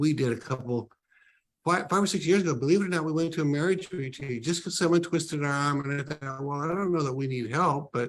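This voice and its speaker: Fairly high-pitched male speech in a normal speaking voice, with ordinary pitch variation. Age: 60s. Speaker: ministry leader, book launch guest. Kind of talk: casual interview talk.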